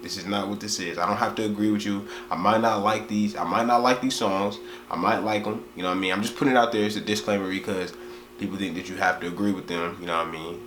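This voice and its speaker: Over noticeable background noise and audible room echo, a man speaks very fast at a fairly low pitch. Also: ordinary pitch variation. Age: young. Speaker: music reaction youtuber. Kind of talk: casual reaction video monologue. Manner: casual, slangy.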